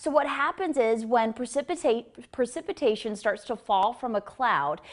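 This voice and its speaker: In a normal speaking voice, a woman talks at a moderate pace with lively intonation. Her pitch is fairly high, and the background is quiet. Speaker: meteorologist. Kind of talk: TV weather forecast.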